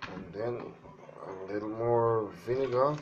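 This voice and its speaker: The speech moves at a very slow pace with ordinary pitch variation, and noticeable background noise is present. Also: man. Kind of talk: DIY tutorial talk to camera. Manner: casual.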